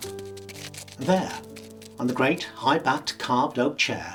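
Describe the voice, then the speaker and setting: Very wide pitch swings over music in the background. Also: man. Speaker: professional actor. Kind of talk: audiobook ghost story reading.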